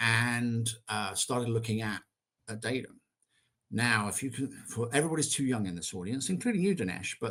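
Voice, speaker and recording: The speaker is a man with an English accent. His intonation is lively. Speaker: software executive. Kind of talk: interview. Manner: hesitant with fillers.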